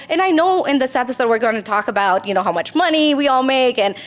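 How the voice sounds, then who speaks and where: Background noise is noticeable as a woman speaks at a fairly quick pace. Her pitch is high and her intonation lively. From Romania. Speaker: entrepreneur. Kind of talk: podcast interview. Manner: animated.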